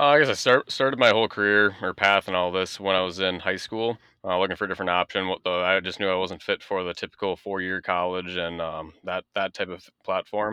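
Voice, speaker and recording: A man speaks with an American accent in a very deep, low pitch. His pace is fairly quick, with hardly any pauses. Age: 20s. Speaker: diesel technician and skills competitor. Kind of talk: radio interview.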